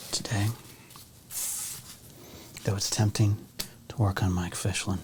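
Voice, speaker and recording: Soft-spoken, calm, monotone, flat delivery at a fairly slow pace. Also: man, fairly low pitch for a man. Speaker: ASMR creator and sports card collector. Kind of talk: soft-spoken ASMR talk to camera.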